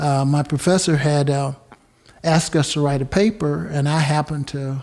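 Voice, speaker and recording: A somewhat breathy man talks at a fairly high pitch. His pace is moderate. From Shreveport, Louisiana. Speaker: psychologist and motivational speaker. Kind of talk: interview answer. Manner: calm.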